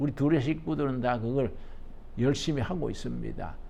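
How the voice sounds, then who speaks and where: The man's voice has a dark, mellow tone and very wide pitch swings. Audible room echo is present. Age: 80s+. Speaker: pastor. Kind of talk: lecture. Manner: conversational, folksy.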